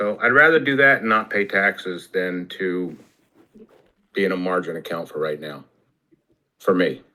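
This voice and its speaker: A man with an American accent speaks at a moderate pace in a very deep, low voice. His intonation is lively, broken by long, frequent pauses. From New Jersey. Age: 60s. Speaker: retired telecom worker, trading student. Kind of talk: casual group video chat.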